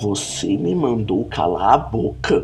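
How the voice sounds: In a put-on character voice, a man with a fairly low pitch speaks at a fairly slow pace, with hissing and clear background noise.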